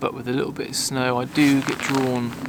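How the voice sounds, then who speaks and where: A man's moderately paced whisper over noticeable background noise. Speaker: landscape photographer vlogger. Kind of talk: casual vlog talk to camera. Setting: outdoors in woods. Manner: whispering; hesitant, many fillers.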